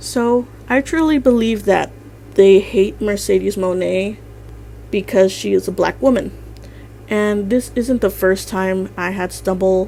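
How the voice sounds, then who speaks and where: A shaky delivery at a fairly slow pace. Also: woman. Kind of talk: commentary narration.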